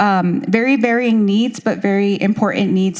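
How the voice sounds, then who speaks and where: At a fairly quick pace, a woman speaks with a Spanish accent. Her pitch is medium and her intonation fairly even. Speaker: school district education director. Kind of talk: presentation at consultation meeting. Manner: hesitant, many fillers.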